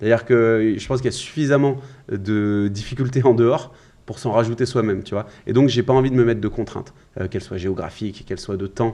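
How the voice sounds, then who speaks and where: Speaking at a very fast pace, a man with a medium pitch and a dark, mellow tone keeps a fairly even intonation over a quiet background. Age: 20s. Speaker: sales coach. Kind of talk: podcast interview.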